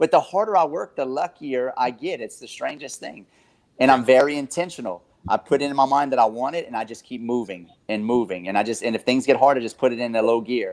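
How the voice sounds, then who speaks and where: Speaking very fast in a Southern Louisiana accent, a man uses a medium pitch, ordinary pitch variation, an animated tone and big swings in loudness. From South Louisiana. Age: 30s. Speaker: real estate investor and coach. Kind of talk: podcast interview. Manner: animated, emphatic; halting, repeats words.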